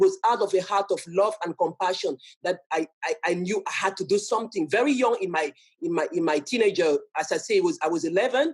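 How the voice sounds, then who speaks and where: The speaker talks at a fairly quick pace in a strong French accent. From Cameroon. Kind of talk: talk to an audience. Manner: halting, frequent self-repetition.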